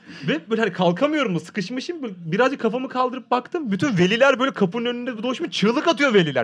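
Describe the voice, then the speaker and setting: The speaker talks loudly at a very fast pace with lively intonation over noticeable background noise. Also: man. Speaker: podcast host visiting as guest. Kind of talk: casual chat. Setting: studio. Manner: talkative.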